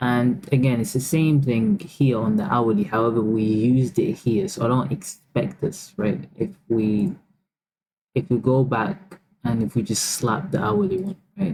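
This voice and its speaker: A man with a medium pitch and a somewhat breathy voice talks at a fairly slow pace. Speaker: trading educator. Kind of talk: market analysis tutorial. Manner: casual, filler-heavy.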